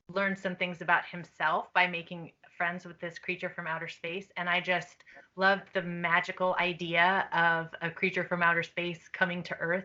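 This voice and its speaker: Soft-spoken, a woman talks at a moderate pace in a fairly low pitch. Her tone is bright and sharp, with monotone, flat intonation. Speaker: children's book author. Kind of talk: interview answers to students.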